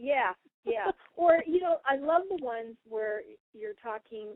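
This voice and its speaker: Very wide pitch swings from a woman. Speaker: radio show host and spiritual channeler. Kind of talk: casual radio talk. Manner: fast.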